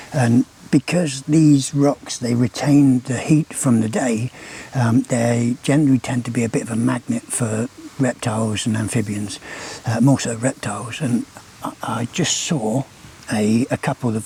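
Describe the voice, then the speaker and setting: A man talks fairly slowly at a medium pitch, with fairly even intonation. The sound is dry and close with no echo, though noticeable background noise is present. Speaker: wildlife vlogger. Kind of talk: nature vlog commentary. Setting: outdoors at night. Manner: casual, hesitant with fillers.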